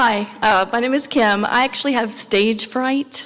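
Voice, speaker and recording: A shaky, high-pitched woman's voice at a fairly slow pace, with fairly even intonation. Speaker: program staff. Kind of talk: ceremony speech. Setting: graduation ceremony. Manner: shaky voice.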